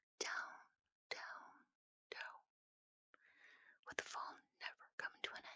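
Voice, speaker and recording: Whispering at a very slow pace. Long, frequent pauses break up the speech. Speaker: ASMR storyteller. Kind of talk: sleep story. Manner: whispered.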